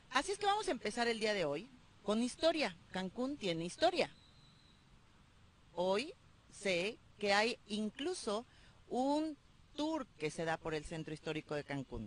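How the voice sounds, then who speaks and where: The speaker's pitch swings very widely. Delivery is fairly slow, broken by long, frequent pauses. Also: woman, fairly high pitch for a woman. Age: 40s. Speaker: radio host. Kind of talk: interview.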